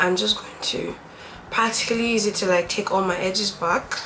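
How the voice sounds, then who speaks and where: Noticeable background noise accompanies a woman speaking at medium pitch. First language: not English. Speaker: beauty YouTuber. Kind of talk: tutorial. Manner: casual, chatty.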